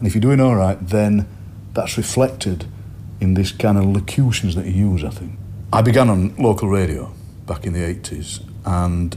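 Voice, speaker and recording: This man talks at a moderate pace with a South Yorkshire accent and a fairly low pitch. His pitch varies in an ordinary way, and there is noticeable noise in the background. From Yorkshire, Barnsley/Doncaster area. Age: 50s. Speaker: poet and broadcaster. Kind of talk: interview.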